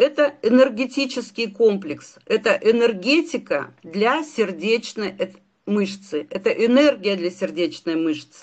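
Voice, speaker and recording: This woman's voice sits fairly high. She speaks at a very slow pace, with very wide pitch swings. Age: 60s. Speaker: doctor. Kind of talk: sales pitch.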